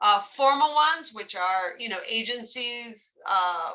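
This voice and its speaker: An animated delivery in a bright, sharp tone. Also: woman. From New England. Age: 50s. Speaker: social work trainer. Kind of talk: lecture.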